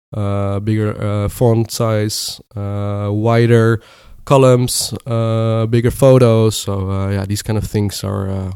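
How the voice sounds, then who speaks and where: A man with a Dutch accent, fairly low-pitched, fairly slow, and monotone, flat in intonation. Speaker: product manager. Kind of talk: interview. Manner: halting.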